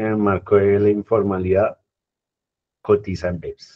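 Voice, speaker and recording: A dark, mellow tone at a moderate pace, in a dry, close sound with no echo and a quiet background. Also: man. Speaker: pension reform speaker. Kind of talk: community talk Q&A.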